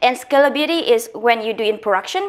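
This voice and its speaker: A woman talks with a Vietnamese accent. Her pace is fairly quick and her intonation lively. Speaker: guest lecturer. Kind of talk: lecture. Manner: fast; halting, many fillers.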